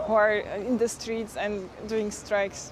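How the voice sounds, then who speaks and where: A woman talks at a moderate pace. The room echo is audible, and background noise is noticeable. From eastern Slovakia. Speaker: local guest, recent graduate. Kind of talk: TV interview.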